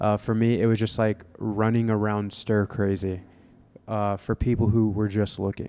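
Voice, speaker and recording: Delivered at a moderate pace with an American accent, the voice has a dark, mellow tone, monotone, flat intonation and very even loudness. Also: man, fairly low pitch for a man. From Florida, Vero Beach. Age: 20s. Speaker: real estate agent and fitness coach. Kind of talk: casual chat. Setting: coffee shop.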